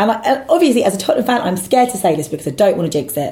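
A woman speaks in a somewhat breathy voice. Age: 30s. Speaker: football fan pundit. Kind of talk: casual chat.

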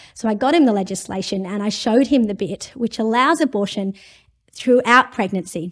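With an Australian accent, a woman speaks at a fairly high pitch in an animated tone with ordinary pitch variation, in a very clean recording with a silent background. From India. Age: 40s. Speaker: law professor. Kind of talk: interview.

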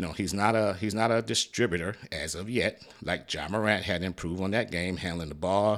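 The delivery moves at a moderate pace, its pitch varying in an ordinary way. It is an unremarkable speaking voice. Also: man. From Detroit, Michigan. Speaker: sports podcast host. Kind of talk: solo sports commentary podcast. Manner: casual, conversational.

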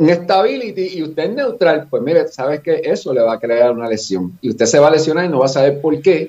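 Speaking in a Puerto Rican accent, a man with a fairly high pitch and a dark, mellow tone moves at a fairly quick pace with hardly any pauses and lively intonation. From Puerto Rico, Fajardo area. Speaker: running coach and former athlete. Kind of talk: casual podcast chat.

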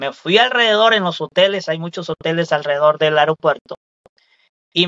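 This man's voice is pitched high. He keeps to a moderate pace. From Mexico, Veracruz state. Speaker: rideshare driver. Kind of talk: casual interview chat.

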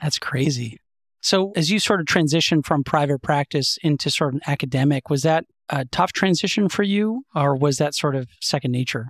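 A man with a plain, everyday voice speaks fairly quickly at a fairly high pitch, with ordinary pitch variation and very even loudness, in a very clean, silent recording with a dry, close sound and no echo. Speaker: podcast host, pediatric ENT surgeon. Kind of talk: interview.

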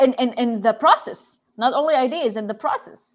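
A woman with a Saudi accent talks at a moderate pace with lively intonation. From Saudi Arabia, Jeddah. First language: Arabic. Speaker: game developer. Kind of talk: conference talk. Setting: livestream.

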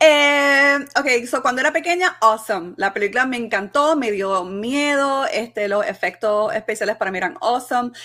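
Speaking at a moderate pace with hardly any pauses, a woman uses a high pitch, a bright, sharp tone and lively intonation. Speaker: podcast co-host. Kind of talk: casual banter about a movie.

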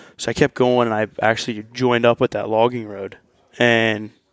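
Here a man speaks at medium pitch with an American accent. His intonation is monotone and flat, and his pace is moderate. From Ohio, US. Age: 20s. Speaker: hunt winner. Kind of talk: storytelling. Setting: hunting camp.

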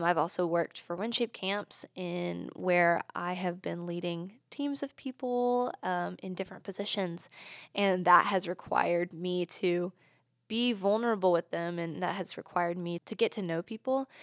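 A woman's plain, everyday voice with an American accent, fairly low in pitch, at a moderate pace with ordinary pitch variation, in a dry, close sound with no echo on a very clean recording with a silent background. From US South, Charlotte area, North Carolina. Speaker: university student and ministry group leader. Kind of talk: casual chat.

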